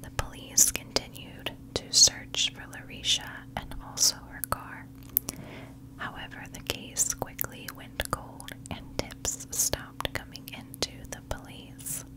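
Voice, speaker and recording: Soft-spoken whispering comes at a very slow pace against noticeable background noise. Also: woman. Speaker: true crime narrator. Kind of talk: storytelling narration. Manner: soft close-mic whisper. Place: home room. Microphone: studio mic.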